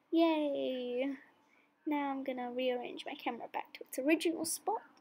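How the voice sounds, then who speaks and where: Her tone is upbeat and playful, and her pitch is high. The woman speaks at a fairly slow pace. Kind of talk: casual voiceover narrating own routine video. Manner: upbeat, playful.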